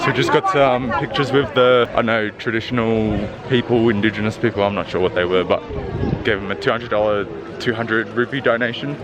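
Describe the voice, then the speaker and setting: A man's medium-pitched voice moves fairly quickly with ordinary pitch variation, noticeable background noise behind it. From Australia. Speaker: travel vlogger. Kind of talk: vlog narration while walking. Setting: outdoors. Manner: casual, hesitant.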